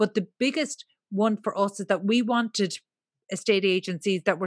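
A woman's medium-pitched voice in an Irish accent, with ordinary pitch variation, a dry, close sound with no echo and a quiet background. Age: 40s. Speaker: property media entrepreneur. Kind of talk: interview conversation.

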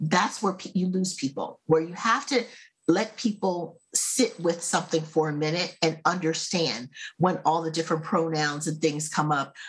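A woman speaks with a fairly low pitch and a somewhat breathy voice, at a moderate pace with ordinary pitch variation. The recording is very clean, with a silent background. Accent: American. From United States. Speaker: marketing consultant. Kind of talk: casual chat.

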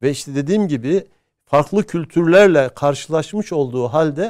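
Fairly high in pitch, a man speaks with ordinary pitch variation. His pace is fairly slow. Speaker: history professor. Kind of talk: interview. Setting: studio. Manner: hesitant, many filler sounds.

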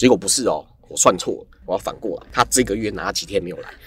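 A man talking at a very fast pace. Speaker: ramen shop owner, former engineer. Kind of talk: casual interview chat.

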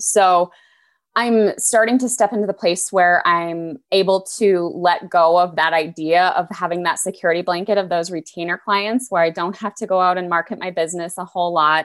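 On a very clean recording with a silent background, a woman with a fairly low pitch speaks in a normal speaking voice at a moderate pace with fairly even intonation. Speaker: coaching student, business owner. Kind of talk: casual coaching chat. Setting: group call.

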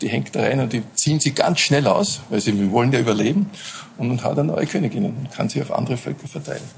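Amid noticeable background noise, a man talks at a very fast pace with a medium pitch and lively intonation. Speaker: beekeeper. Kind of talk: casual interview. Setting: hotel rooftop.

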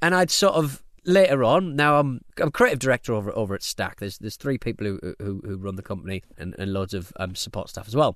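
A man talks at a very fast pace with hardly any pauses. His pitch swings very widely. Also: medium pitch for a man. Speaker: podcast producer and radio presenter. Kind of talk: casual interview chat. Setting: home cabin recording. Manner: fast, excitable talker.

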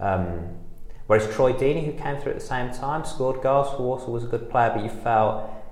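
A man's medium-pitched voice, with ordinary pitch variation, moves at a moderate pace while noticeable background noise sits behind it. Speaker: football fan and writer. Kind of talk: casual interview chat.

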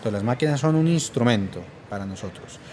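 A man speaking at a very fast pace. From Spain. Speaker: university professor. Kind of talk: interview. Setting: recorded at a conference.

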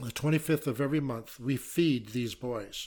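In a very clean recording with a silent background, a somewhat breathy man speaks at a moderate pace with an American accent and ordinary pitch variation. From United States. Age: 70s. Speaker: missionary and trauma specialist. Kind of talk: interview.

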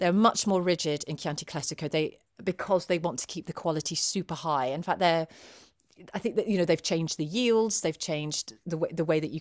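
Recorded very cleanly with a silent background and a dry, close sound with no echo, a woman with a fairly low pitch speaks at a fairly quick pace. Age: 40s. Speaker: drinks writer and TV presenter. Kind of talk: casual chat. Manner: animated.

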